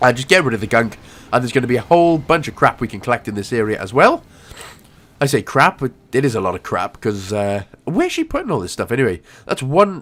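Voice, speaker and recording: Captured in a very clean recording with a silent background, a man talks at a fairly quick pace in an animated tone, his pitch swinging very widely. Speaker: gaming video creator. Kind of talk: game walkthrough tutorial.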